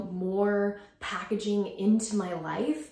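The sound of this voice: With audible room echo, a woman speaks at a fairly low pitch in a slightly mellow tone with vocal fry.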